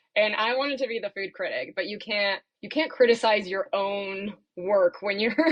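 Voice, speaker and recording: Hers is an unremarkable speaking voice, a woman at a medium pitch and a moderate pace with ordinary pitch variation. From Maryland, Washington DC area. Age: 30s. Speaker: comedian, former TV reporter. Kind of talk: casual interview chat.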